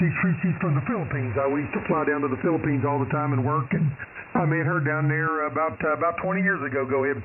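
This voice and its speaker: A man's fairly high voice at a very fast pace, with ordinary pitch variation, audible room echo and noticeable background noise. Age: 50s. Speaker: amateur radio operator, retired Air Force veteran. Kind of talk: ham radio conversation. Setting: radio transmission.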